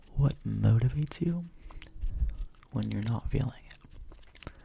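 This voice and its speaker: A soft-spoken man's whispering. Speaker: ASMR creator. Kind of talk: ASMR Q&A. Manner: soft-spoken, whispered.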